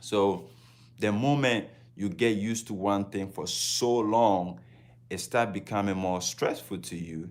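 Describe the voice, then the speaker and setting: This man has a Ghanaian accent and a fairly low pitch, with ordinary pitch variation. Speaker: travel vlogger. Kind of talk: casual livestream talk.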